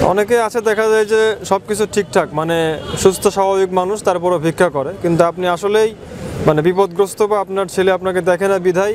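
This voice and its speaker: A man talks at a high pitch with fairly even intonation. Noticeable background noise runs underneath. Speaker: YouTube charity video host. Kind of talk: street interview. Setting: outdoors on street.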